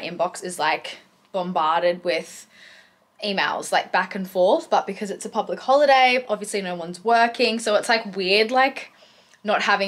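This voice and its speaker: A woman with an Australian accent and ordinary pitch variation. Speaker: lifestyle vlogger; vlogger. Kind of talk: casual vlog. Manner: casual, filler-heavy.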